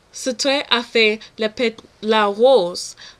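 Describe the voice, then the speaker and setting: Speaking very slowly with a non-native accent, a woman uses a fairly high pitch, ordinary pitch variation, and a bright, sharp tone. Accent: non-native French learner. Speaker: French language student. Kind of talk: read oral exam answer.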